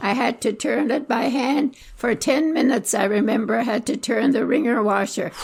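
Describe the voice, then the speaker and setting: The speaker keeps a moderate pace with ordinary pitch variation, very even loudness and hardly any pauses, over noticeable background noise. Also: woman, high pitch for a woman. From Southwestern Ontario, Canada. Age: 80s+. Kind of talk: interview answer.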